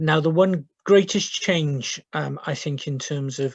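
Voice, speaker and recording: A man speaks somewhat breathily over a quiet background, his sound dry and close with no echo. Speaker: social work team manager. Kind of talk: webinar presentation. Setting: video call from home. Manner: hesitant, many fillers.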